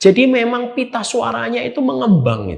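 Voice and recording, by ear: A man talks at a moderate pace with big pitch swings and a high pitch. Vocal fry and a slightly husky edge run through his voice.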